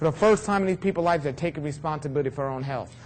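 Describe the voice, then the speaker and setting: He speaks in a New York accent. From New York City. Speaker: raw food health speaker. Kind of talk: talk to an audience. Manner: fast.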